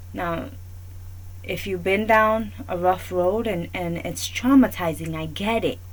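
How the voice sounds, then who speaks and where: In an American accent, the speech comes at a fairly slow pace with audible room echo. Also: woman. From New York. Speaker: talk show host. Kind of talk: opinion monologue.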